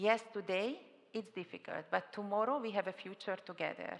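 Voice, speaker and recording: Using a Hungarian accent, a woman speaks at a moderate pace with a medium pitch and ordinary pitch variation. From Hungary. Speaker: panel moderator, public official. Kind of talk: conference panel moderation. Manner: hesitant, with fillers.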